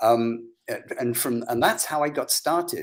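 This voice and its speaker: A man with an English accent talks at a moderate pace on a very clean recording with a silent background. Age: 70s. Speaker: psychologist and brain reprogramming practitioner. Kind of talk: interview. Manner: animated.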